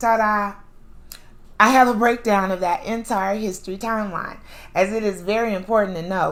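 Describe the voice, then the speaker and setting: A woman talks fairly quickly, and room echo can be heard around her voice. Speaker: podcast host; author. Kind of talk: monologue lecture.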